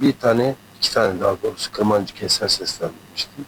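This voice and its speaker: This is a man with a medium-pitched voice. He talks at a moderate pace. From eastern Turkey, Erzincan/Dersim region. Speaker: singer. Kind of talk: interview. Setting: album launch concert venue.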